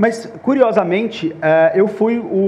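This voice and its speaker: A man speaks in a Minas Gerais accent with ordinary pitch variation. Audible room echo and noticeable background noise are present. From Minas Gerais, Brazil. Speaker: panel moderator, startup founder. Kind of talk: conference panel talk.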